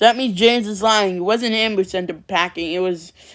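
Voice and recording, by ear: Here, text is read aloud in a natural voice.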